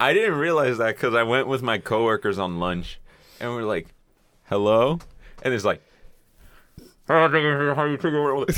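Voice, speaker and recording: In a very clean recording with a silent background, a man of medium pitch speaks at a moderate pace, with long, frequent pauses. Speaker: podcast guest and intern. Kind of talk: casual chat. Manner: profane, joking.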